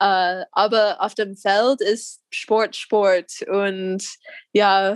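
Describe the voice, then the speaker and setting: With an American accent, a woman speaks at a fairly high pitch. The sound is dry and close, with no echo. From US Midwest, Missouri. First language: English (speaking German). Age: 20s. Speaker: wheelchair basketball player. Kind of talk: interview. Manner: halting, many fillers.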